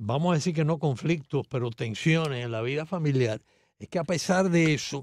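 Speech in a Cuban accent moves at a moderate pace with ordinary pitch variation. The sound is dry, with no echo. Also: man, fairly high pitch for a man. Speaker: radio host or guest. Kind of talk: casual chat. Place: studio. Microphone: studio mic.

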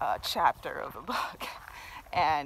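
A woman's voice comes through in a dry sound with no echo. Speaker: vlogger. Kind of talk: casual vlog chat. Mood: reflective, occasional laughs. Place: forest. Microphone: phone near.

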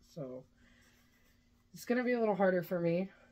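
Speaking fairly quickly with an American accent, a woman has a dark, mellow tone, a fairly low pitch and ordinary pitch variation. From Kansas. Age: 30s. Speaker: vlogger. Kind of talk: casual vlog chat; channel outro appeal. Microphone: phone near.

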